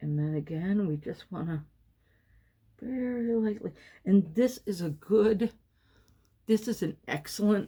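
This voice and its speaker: Speaking at a fairly slow pace with long, frequent pauses, a woman uses a medium pitch and a dark, mellow tone that is somewhat breathy. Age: 50s. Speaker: former model, author. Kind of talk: makeup tutorial talk to camera. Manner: casual, chatty.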